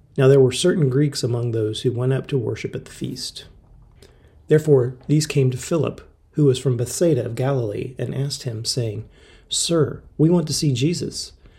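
At a moderate pace, a man with medium pitch speaks in a dark, mellow, somewhat breathy tone, with ordinary pitch variation and big swings in loudness. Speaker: scripture reader. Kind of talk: scripture reading, steady devotional read-aloud of a Bible chapter. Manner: calm, measured, reverent.

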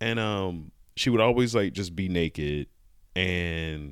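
A man's very deep, low pitch with ordinary pitch variation. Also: very clean recording, silent background. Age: 30s. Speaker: comedian and former massage therapist. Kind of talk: casual interview chat, storytelling.

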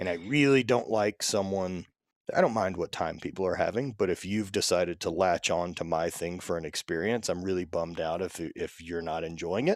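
In a very clean recording with a silent background, a man with a very deep, low voice speaks fairly quickly with ordinary pitch variation. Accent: American. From US South, Louisiana. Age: 30s. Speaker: strength athlete. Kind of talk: casual chat.

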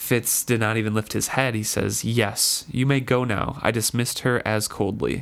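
Fairly even intonation in plain reading aloud.

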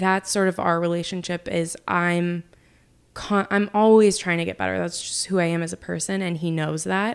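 In a very clean recording with a silent background, a woman with an American accent speaks at a fairly low pitch in a monotone, flat intonation. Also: moderate pace. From Oklahoma. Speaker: political reporter. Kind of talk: interview. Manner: loud talker.

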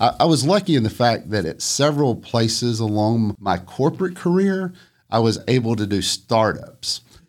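A man with a Southern US accent speaks at medium pitch and a moderate pace. His pitch swings very widely in a very clean recording with a silent background. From US South, northwest Georgia. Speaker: entrepreneur. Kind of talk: interview.

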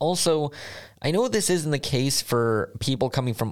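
Lively intonation marks a man speaking with an American accent at a moderate pace. The recording is very clean, with a silent background. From United States. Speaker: podcast host and master's student. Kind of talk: scripted podcast monologue.

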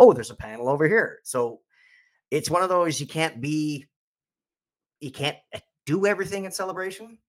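Lively in intonation and fairly quick in pace, a man speaks with big swings in loudness and long, frequent pauses. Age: 40s. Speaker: podcaster and fan convention attendee. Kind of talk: casual chat. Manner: halting, many false starts.

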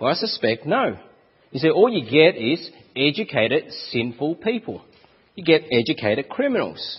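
With an Australian accent, a man talks at a moderate pace in a fairly high pitch, using very wide pitch swings and long, frequent pauses. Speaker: preacher.

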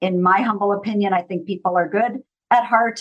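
This woman has a fairly high pitch. She speaks in a Minnesotan accent. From US East Coast. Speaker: consultant and trainer. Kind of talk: interview conversation.

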